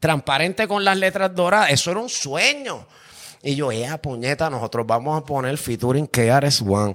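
A man with a Puerto Rican accent, fairly high pitched, at a moderate pace and with lively intonation. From Puerto Rico, Carolina. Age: 40s. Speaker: music producer. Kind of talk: casual chat. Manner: animated.

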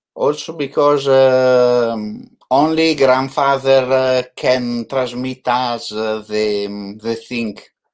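A man speaks very slowly with an Italian accent. His pitch is medium and his intonation fairly even. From Italy. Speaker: photographer hosting an online live show. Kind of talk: casual interview. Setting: video call. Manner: halting.

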